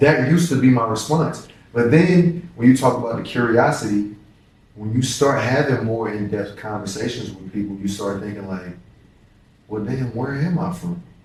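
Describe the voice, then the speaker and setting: Lively intonation and big swings in loudness come through with audible room echo. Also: man, medium pitch for a man, moderate pace. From Louisville, Kentucky. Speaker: professional basketball player. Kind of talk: casual interview.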